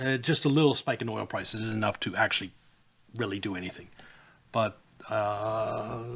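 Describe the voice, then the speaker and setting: Here a man speaks at a medium pitch. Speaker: streamer and market commentator. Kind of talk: live stream commentary. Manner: fast; stumbling over words.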